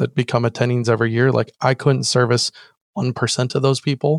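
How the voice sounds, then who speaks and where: A man with an American accent at a fairly quick pace, in a very clean recording with a silent background and a dry, close sound with no echo. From US West Coast, Orange County, California. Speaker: financial advisor. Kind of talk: interview.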